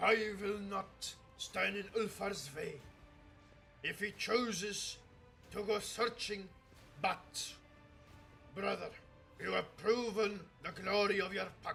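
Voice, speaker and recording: Putting on a character voice, a man speaks high-pitched at a fairly slow pace with long, frequent pauses, while clear music plays in the background. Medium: virtual streamer. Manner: solemn, archaic.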